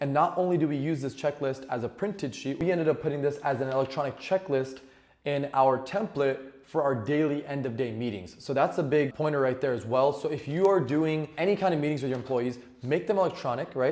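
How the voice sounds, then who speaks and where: A man's pitch varies in an ordinary way as he talks at a fairly quick pace. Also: fairly high pitch for a man. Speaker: business owner giving tech tips. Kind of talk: tutorial. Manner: fast; casual, with fillers.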